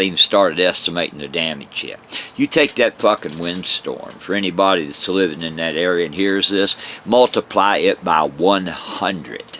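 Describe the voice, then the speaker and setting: Amid noticeable background noise, a man with a fairly low pitch speaks in an animated tone with ordinary pitch variation. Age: 60s. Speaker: vlogger, religion critic. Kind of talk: angry monologue rant. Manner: animated, forceful.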